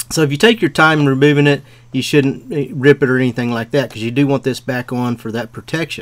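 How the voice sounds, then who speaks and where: Very fast speech comes from a man with ordinary pitch variation. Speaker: auto repair instructor. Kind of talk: tutorial. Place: open country.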